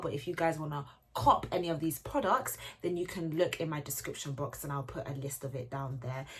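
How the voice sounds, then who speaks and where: A woman with a British accent talks at a fairly quick pace in a somewhat breathy, animated tone with ordinary pitch variation. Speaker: beauty YouTuber. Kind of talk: casual chat. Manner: fast.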